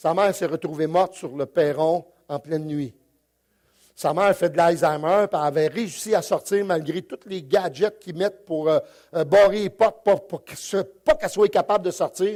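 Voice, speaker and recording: Here a man talks with a Quebec accent. His pitch is high and his pace moderate. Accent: Québécois French. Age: 60s. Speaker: pastor. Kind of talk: sermon. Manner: halting, many repetitions and fillers.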